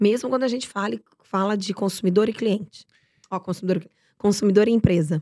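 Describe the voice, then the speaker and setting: A woman's medium-pitched voice with a dark, mellow tone, a fairly quick pace and ordinary pitch variation. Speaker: podcast host. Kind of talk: interview.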